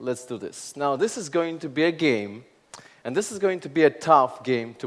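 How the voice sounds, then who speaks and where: The man's intonation is lively throughout. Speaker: conference speaker. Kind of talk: keynote talk. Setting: stage with audience. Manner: fast; animated.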